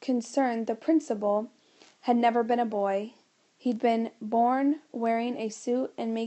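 The reading is aloud and natural, its intonation mostly level.

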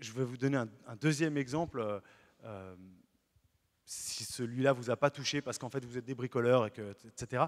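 Long, frequent pauses and big swings in loudness mark this moderate-paced speech over a quiet background. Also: man. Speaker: Protestant pastor. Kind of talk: sermon. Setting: church. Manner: animated, earnest preaching with emphatic repetition; lively, illustrates points with everyday stories. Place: church. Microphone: handheld.

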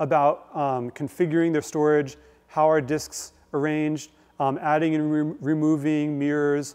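Against a quiet background, a man speaks at a fairly slow pace with monotone, flat intonation. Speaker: guest lecturer. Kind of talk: lecture. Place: hall.

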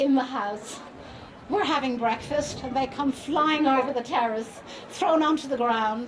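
Crowd noise fills the background as a woman talks at a high pitch with ordinary pitch variation. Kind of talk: public speech, storytelling. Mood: warm, amused. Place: stage. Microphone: handheld.

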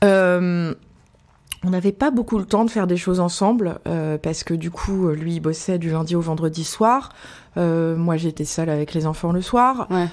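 A woman's fairly low voice, an unremarkable speaking voice, with ordinary pitch variation and a fairly slow pace. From Paris. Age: 40s. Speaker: restaurant owner. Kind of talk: interview.

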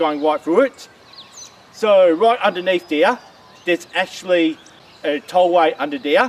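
The sound is dry with no echo as a man talks at a fairly slow pace, his pitch high with ordinary variation. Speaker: walking vlogger. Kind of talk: casual vlog chat. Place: forest. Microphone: camera far.

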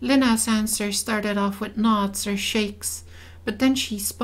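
This is an unforced reading voice. It reads along without strain.

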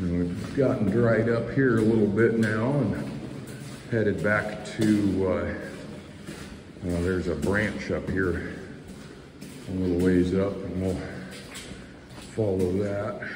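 A man's fairly low voice at a very slow pace, with long, frequent pauses and noticeable background noise. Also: ordinary pitch variation. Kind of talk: casual exploration commentary. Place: tunnel cave. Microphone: phone near.

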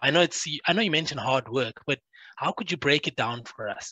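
The sound is dry, with no echo, and the background is quiet. The pace is fairly quick. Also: man. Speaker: sports show host. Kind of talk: casual chat. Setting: video call. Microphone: headset.

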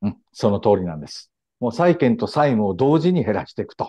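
Very wide pitch swings run through this man's speech. He talks at a fairly quick pace over a quiet background. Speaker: historian and commentator. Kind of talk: explanatory interview. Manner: frequent fillers and hesitations.

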